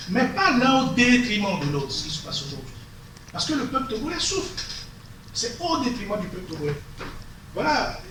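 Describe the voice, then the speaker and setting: Speaking at a moderate pace with long, frequent pauses, a man uses a high voice with very wide pitch swings. Audible room echo and noticeable background noise surround him. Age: 60s. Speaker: lawyer. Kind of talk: meeting discussion. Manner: halting.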